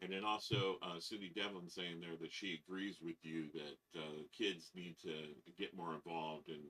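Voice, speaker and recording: A man with a very deep, low pitch, a bright, sharp tone and fairly even intonation. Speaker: live stream host, marble collector. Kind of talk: live stream chat.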